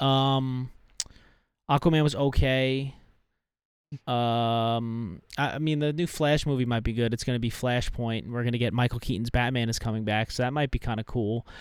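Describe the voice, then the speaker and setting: On a very clean recording with a silent background, a man with a normal speaking voice talks at medium pitch and a moderate pace with fairly even intonation. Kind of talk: casual banter.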